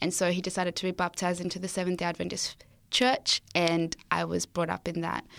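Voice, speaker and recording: A woman speaks with an Australian accent in a very clean recording against a silent background. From Zimbabwe. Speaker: student guest sharing testimony. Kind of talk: testimony, interview. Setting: studio.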